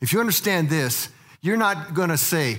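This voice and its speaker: With a raised, projected voice and a bright, sharp tone, a man with an American accent makes very wide pitch swings over audible room echo. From Colorado (Littleton). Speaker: church teacher, former missionary. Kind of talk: lecture. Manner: halting.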